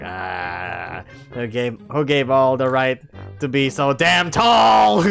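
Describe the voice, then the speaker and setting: In a put-on character voice, a man talks at a very slow pace with a medium pitch. Faint music plays in the background. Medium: read story. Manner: snarky.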